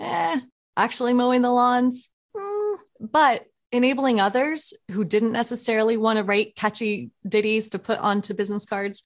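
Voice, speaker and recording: Very clean recording, silent background. A woman with a normal speaking voice, fairly high in pitch, talks at a moderate pace with ordinary pitch variation. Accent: American. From Oklahoma. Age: 40s. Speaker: tech entrepreneur. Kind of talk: interview.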